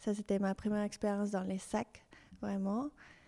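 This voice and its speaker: The recording is very clean, with a silent background. The speaker has a Spanish accent and a dark, mellow tone. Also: woman. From Mexico City. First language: Spanish (speaking French). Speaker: fashion designer. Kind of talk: interview. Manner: halting.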